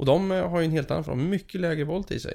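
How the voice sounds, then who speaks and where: A man's dark, mellow voice at a fairly quick pace. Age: 30s. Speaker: aquarium keeper. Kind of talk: casual chat. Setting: aquarium facility.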